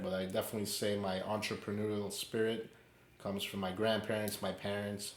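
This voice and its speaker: Against audible room echo, a man with a fairly low pitch speaks in a monotone, flat way. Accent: New York. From New York City, Queens. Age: 20s. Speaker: podcast co-host. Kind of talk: casual chat.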